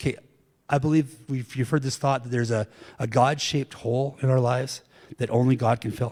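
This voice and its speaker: Somewhat breathy and medium-pitched, a man talks in a monotone, flat intonation. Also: fairly quick pace. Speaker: pastor. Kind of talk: sermon.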